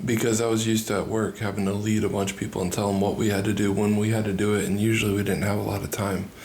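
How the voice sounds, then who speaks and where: Soft-spoken and at a very fast pace, a man talks with hardly any pauses, a fairly low pitch, monotone, flat intonation and very even loudness, with audible room echo and noticeable background noise. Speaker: marriage podcast co-host. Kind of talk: casual chat.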